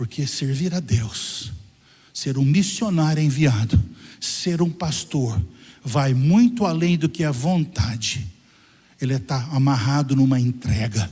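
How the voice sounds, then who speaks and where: This man has a fairly high pitch, a dark, mellow tone and a somewhat breathy quality. He talks very slowly with lively intonation and long, frequent pauses. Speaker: pastor. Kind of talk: sermon. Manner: animated.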